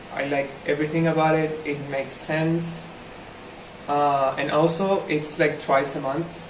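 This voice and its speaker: Against noticeable background noise and audible room echo, a man with a fairly high pitch speaks at a fairly slow pace in a monotone, flat intonation. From Argentina. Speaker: language club organizer. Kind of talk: casual monologue to camera. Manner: hesitant, many fillers.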